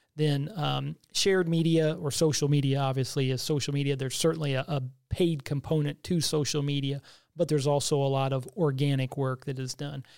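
With an American accent and an unremarkable speaking voice, a man talks at a fairly quick pace and a fairly high pitch, his intonation fairly even, in a very clean recording with a silent background. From Missouri, US Midwest. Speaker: state tourism director. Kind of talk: interview.

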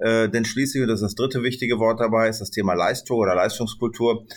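Pitched in the medium range, this is a man's voice. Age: 60s. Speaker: business owner and managing director. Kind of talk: podcast interview.

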